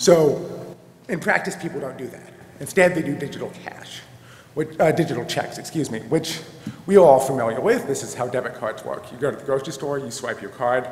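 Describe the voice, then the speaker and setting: A man speaks at a fairly quick clip with lively intonation. The room echo is audible. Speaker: conference presenter. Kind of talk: lecture. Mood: a little flustered. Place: hall. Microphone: podium.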